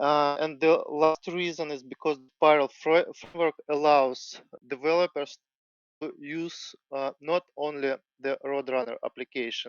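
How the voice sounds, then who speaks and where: A man's fairly high, flat, monotone voice with a non-native accent, fairly slow pace and big swings in loudness. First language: not English. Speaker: software developer. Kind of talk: tech presentation. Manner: halting.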